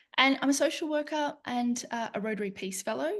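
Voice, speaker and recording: The speaker is a woman with an Australian accent. Behind her, the background stays quiet. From Australia, east coast. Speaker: lecturer in conflict transformation, social worker. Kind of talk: webinar presentation. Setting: online webinar.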